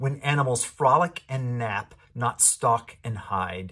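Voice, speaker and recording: Against a quiet background, a man speaks at a fairly slow pace. His voice is somewhat breathy, with ordinary pitch variation. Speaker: pastor leading prayer. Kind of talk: fervent prayer. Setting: online church video. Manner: earnest, pleading; formal, solemn. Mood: solemn, reverent. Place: home room. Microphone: webcam.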